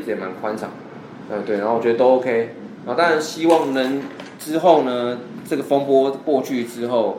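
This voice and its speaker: A man's medium-pitched voice, with audible room echo and noticeable background noise. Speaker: baseball podcast co-host. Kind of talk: casual chat.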